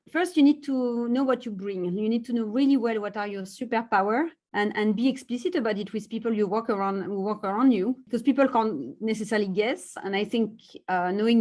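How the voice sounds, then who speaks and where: A woman with a strong French accent at a fairly quick pace, with ordinary pitch variation against a quiet background. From France. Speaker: tech executive. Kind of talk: interview. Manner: halting, many fillers.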